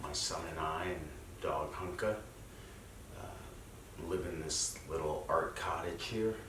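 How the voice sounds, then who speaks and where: A soft-spoken man with a very deep, low pitch talks at a very slow pace, leaving long, frequent pauses with ordinary pitch variation. Audible room echo and noticeable background noise surround him. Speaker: wellness practice teacher. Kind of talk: guided practice talk. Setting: at home.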